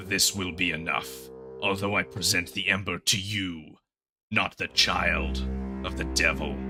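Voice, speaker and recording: A man does a booming, put-on character voice with a very deep, low pitch at a moderate pace, leaving long, frequent pauses over faint music in the background. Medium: actual play. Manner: imperious, grave.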